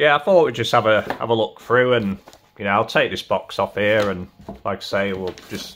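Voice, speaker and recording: With light noise in the background, a man talks at a moderate speed and ordinary pitch variation. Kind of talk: casual vlog chat. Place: home room.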